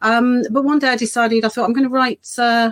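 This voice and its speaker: A woman with a slight Birmingham accent speaks fairly quickly in a fairly high pitch, the sound dry and close with no echo. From English Midlands, Birmingham. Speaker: children's author. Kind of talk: casual interview.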